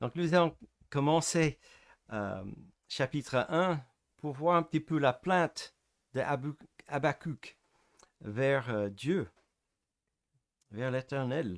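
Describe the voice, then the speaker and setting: A man's fairly high voice with a non-native accent and lively intonation, very slow with long, frequent pauses, dry and close with no echo, on a very clean recording with a silent background. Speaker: preacher. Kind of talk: sermon. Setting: church service. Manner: halting, hesitant.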